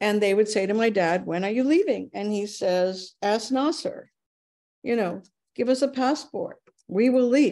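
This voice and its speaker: Against a quiet background, a woman speaks in a dark, mellow tone. Her intonation is lively. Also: moderate pace. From Japan (Kobe); Japan. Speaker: advocate and speaker; speaker. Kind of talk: online talk with slides. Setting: video call. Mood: warm, reminiscing. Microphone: video call.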